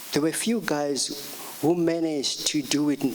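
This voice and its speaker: A man speaks at a fairly high pitch and a moderate pace. Noticeable background noise runs behind him. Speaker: jazz saxophonist. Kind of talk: music workshop talk. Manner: halting, many fillers.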